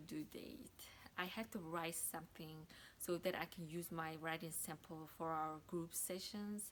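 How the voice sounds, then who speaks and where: A woman with a non-native accent speaks at a fairly slow pace with fairly even intonation. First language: not English. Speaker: graduate student. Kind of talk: testimony.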